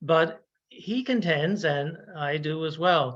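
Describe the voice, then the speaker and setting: In a Newfoundland accent, a man speaks at a fairly high pitch with ordinary pitch variation against a quiet background. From Newfoundland, Canada. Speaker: Jesuit priest and ecology researcher. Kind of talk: webinar lecture. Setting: online webinar. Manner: halting, with frequent fillers.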